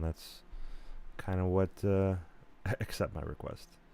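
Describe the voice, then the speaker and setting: The man's voice is very deep and low, with a dark, mellow tone. He talks at a fairly slow pace. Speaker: gaming streamer. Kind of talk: live stream chat. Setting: live stream. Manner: casual, with many fillers and false starts.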